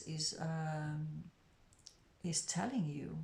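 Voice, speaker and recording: A woman with a very deep, low pitch speaks in a monotone, flat intonation that is somewhat breathy. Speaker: tarot reader. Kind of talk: tarot reading. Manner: lower and quieter; hesitant.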